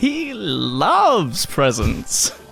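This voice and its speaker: Clear music plays in the background as a man speaks in a put-on character voice. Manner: not threatening, weak.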